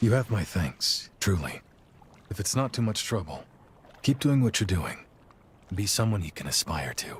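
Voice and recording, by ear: A man uses a put-on character voice, fairly low-pitched with a husky, rough edge. His moderate pace is broken by long, frequent pauses amid big pitch swings.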